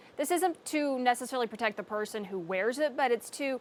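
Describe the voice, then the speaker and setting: Here is a woman in a normal speaking voice. Her pitch is fairly high, with ordinary pitch variation. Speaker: news anchor and reporter. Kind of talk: casual studio demonstration segment.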